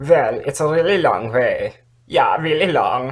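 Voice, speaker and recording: This is a put-on character voice. It drawls along at a fairly slow pace. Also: man, fairly high pitch for a man. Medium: read story. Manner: casual, drawling, repeats himself with "yeah".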